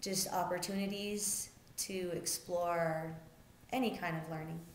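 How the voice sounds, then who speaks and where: A woman speaks at a fairly slow pace in a medium pitch, with flat, monotone intonation. Noticeable background noise and audible room echo are present. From Albuquerque, New Mexico. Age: 20s. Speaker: community center director. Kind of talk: interview monologue. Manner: halting with frequent fillers.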